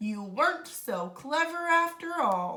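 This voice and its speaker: Using a put-on character voice, a woman speaks at a high pitch and a fairly slow pace, her pitch swinging very widely. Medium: read story. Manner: smooth, sly.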